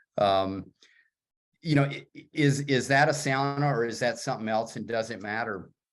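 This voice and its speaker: Over music in the background, a man talks at medium pitch with long, frequent pauses. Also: ordinary pitch variation, moderate pace. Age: 60s. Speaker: sauna builder and writer. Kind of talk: casual chat.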